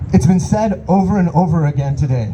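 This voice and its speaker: Here a man talks with lively intonation. Noticeable background noise runs underneath. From Iran. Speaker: rally speaker, local business owner. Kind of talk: protest rally speech. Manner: impassioned.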